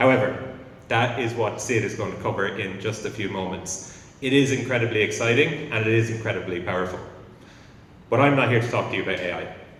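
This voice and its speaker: An Irish accent at a fairly quick pace with ordinary pitch variation, plus noticeable background noise and audible room echo. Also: man, medium pitch for a man. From Ireland. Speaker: company founder. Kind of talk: conference talk. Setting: stage with audience.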